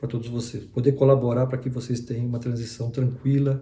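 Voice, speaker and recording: A man talks at a medium pitch. His voice is somewhat breathy, with a dark, mellow tone. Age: 60s. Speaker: retired HR executive, career mentor. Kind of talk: online lesson. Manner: halting, with fillers and repetitions.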